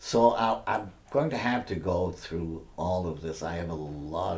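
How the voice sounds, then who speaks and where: Audible room echo surrounds a man's very deep, low voice with vocal fry and ordinary pitch variation. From Maine, Biddeford (Franco-American). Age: 80s+. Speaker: retired French professor and author. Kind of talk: oral history interview. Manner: halting, with frequent fillers and repeats.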